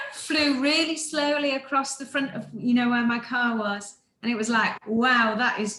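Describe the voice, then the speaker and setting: With an English accent, a woman talks in a high voice at a fairly slow pace, with hardly any pauses. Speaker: medical researcher and amateur astronomer. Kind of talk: casual chat.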